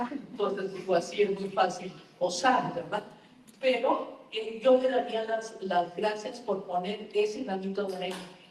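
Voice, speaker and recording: A woman with a Mexican accent at a medium pitch, fairly slow and fairly even in intonation, with audible room echo and noticeable background noise. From Mexico. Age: 80s+. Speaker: novelist. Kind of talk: book talk interview. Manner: halting with repetitions.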